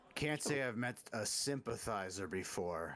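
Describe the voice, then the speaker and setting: A man does a raspy, put-on character voice at a medium pitch, with lively intonation and a moderate pace. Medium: actual play. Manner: indignant, confrontational.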